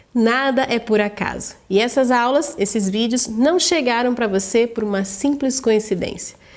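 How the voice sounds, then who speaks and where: Against noticeable background noise, the speaker goes at a fairly slow pace with hardly any pauses and ordinary pitch variation. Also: woman, fairly high pitch for a woman. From Brazil, interior of São Paulo state. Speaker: online course instructor. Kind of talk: sales pitch.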